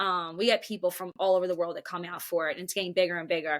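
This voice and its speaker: A woman with a Philadelphia accent talks at a very fast pace in a bright, sharp tone at a medium pitch. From South Philadelphia. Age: 30s. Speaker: runner and mother. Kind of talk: casual chat. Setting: podcast recording. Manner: animated.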